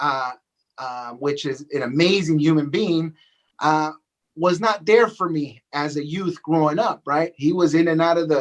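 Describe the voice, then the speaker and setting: A man with an American accent speaks in a plain, everyday voice, his pitch fairly high for a man. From Los Angeles, California. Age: 40s. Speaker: real estate agent and coach. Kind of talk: podcast interview. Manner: repetitive, with many fillers.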